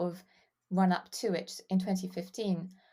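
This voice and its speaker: A woman speaks at a medium pitch and a fairly slow pace. Her voice is somewhat breathy, with a dark, mellow tone. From England / Wales. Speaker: fan site writer. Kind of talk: casual chat.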